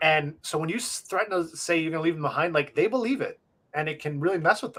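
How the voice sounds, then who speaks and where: A man with an American accent talks at a very fast pace. His pitch is high. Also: ordinary pitch variation. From US Northeast, Long Island, New York. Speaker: live show co-host. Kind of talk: casual chat. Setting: live internet stream.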